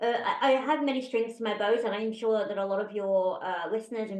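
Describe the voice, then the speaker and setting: The pace is fairly quick. A woman speaks with a British accent. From UK. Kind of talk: interview conversation. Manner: animated.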